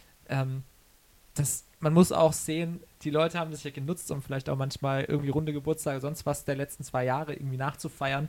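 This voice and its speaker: A man with a fairly high pitch, at a fairly quick pace in a monotone, flat intonation. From Karlsruhe, Baden, southwest Germany. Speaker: singer-songwriter. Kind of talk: interview. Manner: hesitant with many fillers.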